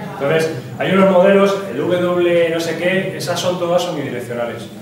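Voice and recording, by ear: A man talks at a high pitch for a man, with ordinary pitch variation. Room echo can be heard. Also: moderate pace.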